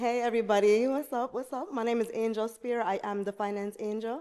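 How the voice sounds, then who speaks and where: With a Jamaican accent, a woman talks at a fairly quick pace in a fairly high, dark and mellow voice. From Jamaica, Saint Mary. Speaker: finance entrepreneur. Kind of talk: podcast interview.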